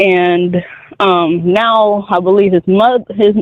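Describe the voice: A man speaks with a high pitch and fairly even intonation. The sound is dry and close, with no echo.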